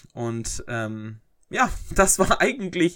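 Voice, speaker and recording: Very slow speech from a man comes through on a very clean recording with a silent background. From Germany, North Rhine-Westphalia (Herford, East Westphalia). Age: 20s. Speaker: podcaster and YouTuber. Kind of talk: casual Q&A monologue. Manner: hesitant, many filler sounds.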